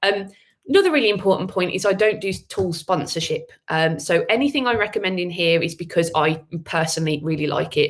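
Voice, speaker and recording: With a Birmingham accent, a woman talks at a fairly quick pace in a medium pitch. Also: ordinary pitch variation. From Birmingham, England. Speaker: agency owner and AI speaker. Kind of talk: webinar presentation. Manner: many filler words.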